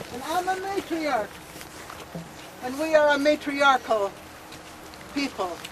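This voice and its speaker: A woman speaks in a raised, projected voice. Noticeable background noise runs behind her. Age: 70s. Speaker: First Nations elder and activist. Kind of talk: protest speech.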